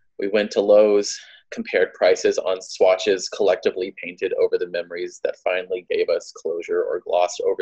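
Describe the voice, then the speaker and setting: A man's fairly quick speech plays against a quiet background. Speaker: poet. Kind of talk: spoken word poetry performance, imaginative, emotional, rhythmic. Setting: live poetry reading. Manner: animated, rhythmic, cadenced; heartfelt, wry, building emotionally. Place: home room. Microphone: phone near.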